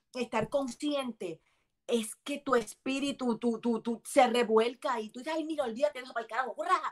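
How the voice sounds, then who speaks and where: A woman talks at a high pitch and a moderate pace. Her pitch varies in an ordinary way. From Puerto Rico, Bayamón. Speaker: actress and comedian. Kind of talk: casual chat. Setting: video call.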